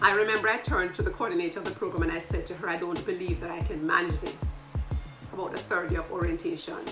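Music plays clearly in the background. A woman talks over it. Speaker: leadership coach. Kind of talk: casual vlog chat. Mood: warm, reflective. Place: home room.

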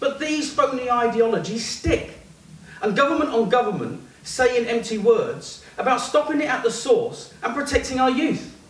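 A man speaks at a moderate pace in an extremely high pitch with ordinary pitch variation, and audible room echo can be heard. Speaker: performance poet. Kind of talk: spoken word poetry performance, rhythmic and rhyming. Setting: stage with audience in a pub. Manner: impassioned, building to a declamatory climax; punchy, clipped rhetorical delivery. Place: bar.

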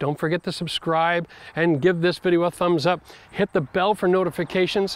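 Pitched high, a man talks at a fairly quick pace in a dry recording with no echo. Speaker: home renovation channel host. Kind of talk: casual vlog chat. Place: garden.

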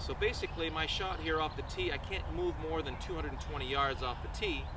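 Noticeable background noise accompanies a man whose sound is dry with no echo. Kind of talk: tutorial. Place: open country.

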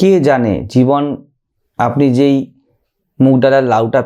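A man speaks with a dark, mellow tone at a medium pitch. The background is quiet. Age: 30s. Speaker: monk and spiritual teacher; spiritual teacher. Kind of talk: spiritual talk answering a question. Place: studio. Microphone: studio mic.

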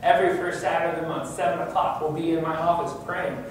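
A man talks with fairly even intonation. Strong room echo and light background noise surround him. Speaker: pastor. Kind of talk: sermon. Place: church.

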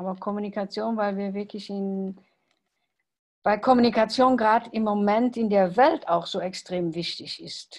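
Against a quiet background, a woman speaks at a moderate pace with big swings in loudness and ordinary pitch variation. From Luxembourg. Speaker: salon organiser. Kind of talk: casual chat. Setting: video call. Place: home room. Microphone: video call.

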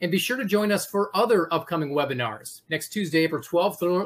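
This man has an ordinary speaking voice, pitched fairly high and moving at a fairly quick pace. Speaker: university alumni office staff, event host. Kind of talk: formal introduction and event announcements. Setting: video webinar. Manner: formal.

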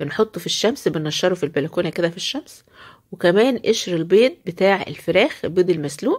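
The woman's pitch sits in the medium range, with lively intonation. The background is quiet. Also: moderate pace. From Egypt. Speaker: poultry-keeping video creator. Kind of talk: home tutorial. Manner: animated. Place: farm. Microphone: phone near.

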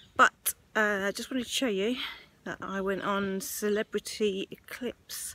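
A woman's medium-pitched voice with a fairly bright tone, fairly even intonation and a fairly slow pace.

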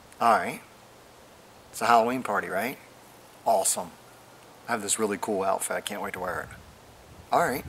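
Light background noise sits behind a man speaking at a fairly low pitch. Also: ordinary pitch variation, fairly quick pace. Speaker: comedy sketch actor. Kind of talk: scripted comedy phone call. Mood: playful, comedic. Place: garden. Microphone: camera far.

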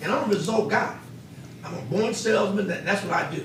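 A man with an American accent talks at a very fast pace, with audible room echo and noticeable background noise. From Ohio, Xenia area. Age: 60s. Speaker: public commenter, local businessman. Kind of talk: public comment at council meeting. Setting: city council chamber.

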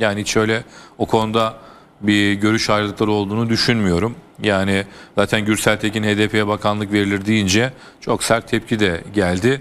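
Fairly low-pitched male voice, monotone and flat, at a moderate pace with very even loudness. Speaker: newspaper columnist. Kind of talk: TV political panel discussion. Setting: TV studio. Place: studio. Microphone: lapel.

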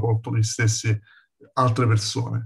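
At a moderate pace, a man speaks with a medium pitch and a somewhat breathy voice. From Campania, Castellammare di Stabia near Naples. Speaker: street photographer. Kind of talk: lecture.

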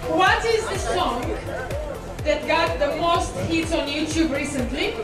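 Clear music plays in the background as a woman speaks at a fairly slow pace amid audible room echo. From Romania. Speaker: TV and event presenter, MC, public speaker. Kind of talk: live event host addressing an audience. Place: street.

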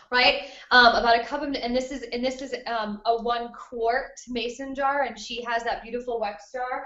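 In a room with audible echo, a woman speaks at a moderate pace in a high, flat, monotone voice. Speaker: webinar host. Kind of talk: webinar tutorial. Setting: video call from a friend's kitchen. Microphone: delayed online connection.

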